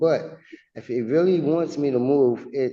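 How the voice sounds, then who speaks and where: A man talks with a dark, mellow tone. His pitch varies in an ordinary way. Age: 60s. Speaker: tenant in eviction hearing. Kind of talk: court testimony. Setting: courtroom. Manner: halting.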